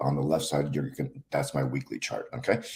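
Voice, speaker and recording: Very wide pitch swings and vocal fry in a man's speech. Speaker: stock market analyst. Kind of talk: market analysis tutorial. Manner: slow; halting, many fillers.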